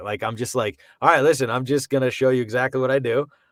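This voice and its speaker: The recording is very clean, and the background is silent. A man talks in an American accent at a medium pitch. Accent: Boston accent, comes and goes. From Boston. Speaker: voice actor. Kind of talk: casual chat. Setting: home studio. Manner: animated.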